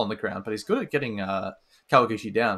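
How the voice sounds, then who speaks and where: The voice belongs to a man. His tone is bright and sharp. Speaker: martial arts commentator. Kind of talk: live commentary. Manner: fast.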